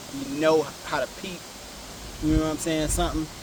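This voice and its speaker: With an American accent, a man speaks at a moderate pace and a fairly high pitch over noticeable background noise. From Ohio, Cleveland area. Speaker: rapper. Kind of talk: interview.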